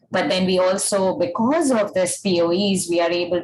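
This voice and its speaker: A woman with a fairly low pitch talks at a moderate pace with lively intonation, and audible room echo surrounds her voice. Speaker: energy analyst. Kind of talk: webinar presentation.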